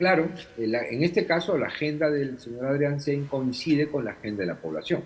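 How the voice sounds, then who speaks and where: Someone speaks at a fairly quick pace with ordinary pitch variation over noticeable background noise. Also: man, fairly high pitch for a man. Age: 60s. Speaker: former congressional official, political analyst. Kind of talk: interview.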